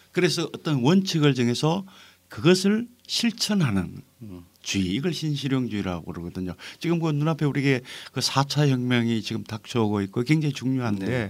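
Very wide pitch swings at a moderate pace. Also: man, medium pitch for a man. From North Gyeongsang, South Korea. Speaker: novelist. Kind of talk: podcast interview.

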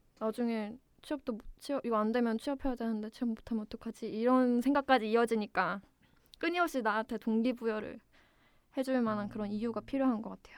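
A woman's fairly high voice at a fairly quick pace, with fairly even intonation, in a very clean recording with a silent background. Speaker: newly hired civil servant. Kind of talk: interview. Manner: hesitant, many fillers.

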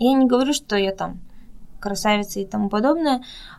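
A woman uses a normal speaking voice, her pitch medium and varying in an ordinary way. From Russia. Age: young. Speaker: model and performer living abroad. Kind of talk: interview.

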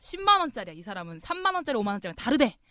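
At a very fast pace, a woman talks in a high pitch with very wide pitch swings. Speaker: podcast co-host. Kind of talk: casual chat.

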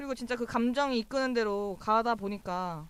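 A woman with a normal speaking voice, ordinary pitch variation and a fairly quick pace. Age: 20s. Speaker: webtoon fan community staff, co-host. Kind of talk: casual chat.

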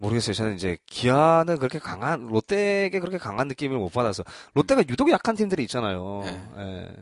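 Delivered at a very fast pace, a man's medium-pitched voice swings very widely in pitch, with a dry, close sound and no echo. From Busan, South Korea. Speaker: baseball podcast host. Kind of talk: casual chat.

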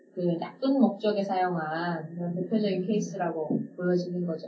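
A woman at medium pitch, moderate pace and fairly even intonation, with audible room echo and noticeable background noise. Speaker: communication and leadership trainer, podcast co-host. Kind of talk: casual chat.

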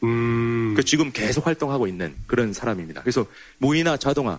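Talking at a fairly quick pace, a man speaks with a slight North Korean accent. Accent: slightly North Korean-sounding speech. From South Korea. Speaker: North Korea science historian. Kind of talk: lecture.

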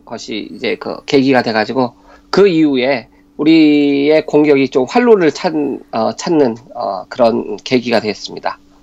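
At a fairly slow pace, a man with a plain, everyday voice speaks at a fairly high pitch with ordinary pitch variation. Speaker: sports commentator. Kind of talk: radio sports talk.

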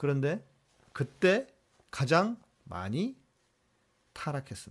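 Against a quiet background, a man talks in a somewhat breathy voice. His fairly high pitch makes very wide swings. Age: 50s. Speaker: pastor hosting a Q&A livestream. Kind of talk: live Q&A stream reading viewer questions.

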